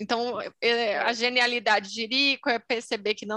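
Against a quiet background, a woman with a Brazilian accent speaks at a fairly slow pace in a bright, sharp tone, the sound dry and close with no echo. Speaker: podcast co-host. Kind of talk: casual chat.

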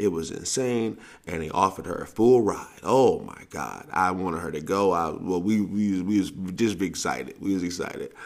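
An animated man with a very deep, low voice talks at a moderate pace with ordinary pitch variation. Audible room echo surrounds him. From US South. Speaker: sports coach and podcast host. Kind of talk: casual monologue podcast.

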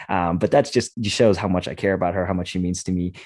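Very deep, low-pitched man with an American accent and fairly even intonation, on a very clean recording with a silent background. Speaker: podcast host. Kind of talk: casual chat. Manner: fast talker.

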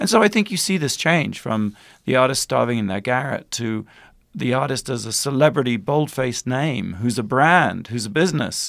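On a very clean recording with a silent background, a man with a plain, everyday voice speaks at a moderate pace and medium pitch with lively intonation. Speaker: documentary filmmaker. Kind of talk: interview.

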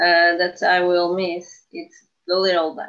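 This woman speaks with a Portuguese accent. Her pace is very slow. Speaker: podcast co-host. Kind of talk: casual chat.

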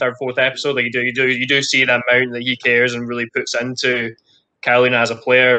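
This man talks very fast with a medium pitch and a bright, sharp tone. His intonation is monotone and flat, in a Scottish accent. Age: 20s. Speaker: elite badminton player. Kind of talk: interview.

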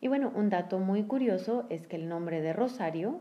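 Delivered at a fairly slow pace, the speech shows ordinary pitch variation. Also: woman. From northern Mexico (San Luis Potosí, Monterrey). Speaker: podcast co-host. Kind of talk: casual chat.

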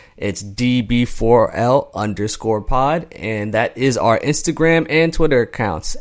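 A man talks at a fairly slow pace with an American accent. His medium-pitched voice is a plain, everyday voice. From Pennsylvania, US. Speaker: podcast co-host. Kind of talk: casual chat.

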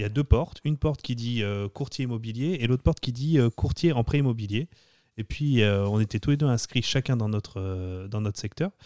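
Dry and close with no echo, in a very clean recording with a silent background, a man speaks at a fairly quick pace and medium pitch, his tone dark and mellow and his pitch varying in an ordinary way. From France, Lyon. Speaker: real estate agent. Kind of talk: interview. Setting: studio.

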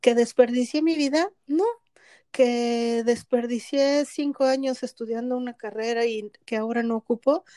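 In a very clean recording with a silent background and a dry, close sound with no echo, a woman speaks at a high pitch and a fairly slow pace, her tone dark and mellow and her intonation fairly even. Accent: Mexican. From Mexico. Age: 50s. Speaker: podcast co-host, spiritual coach. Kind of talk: casual conversational podcast.

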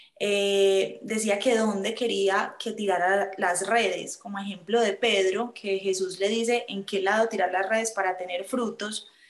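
Flat, monotone intonation comes at a fairly slow pace against noticeable background noise. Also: woman, medium pitch for a woman. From Colombia, Medellín. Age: 20s. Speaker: aspiring nun. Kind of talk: testimony.

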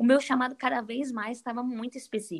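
Her pitch is high. Intonation stays fairly even, and the sound is dry and close with no echo. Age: 20s. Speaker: author and women's ministry leader. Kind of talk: casual chat.

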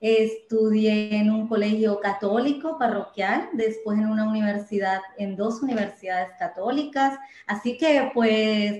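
A woman's fairly high-pitched, a plain, everyday voice at a fairly slow pace, with ordinary pitch variation. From Colombia, Medellín. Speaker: church volunteer giving testimony. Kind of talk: testimony.

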